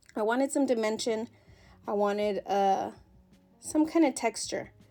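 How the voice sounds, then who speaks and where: Over music in the background, a woman with a fairly high pitch speaks at very even loudness, with ordinary pitch variation. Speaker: crafting video creator. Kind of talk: voiceover tutorial. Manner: fast; casual, with fillers.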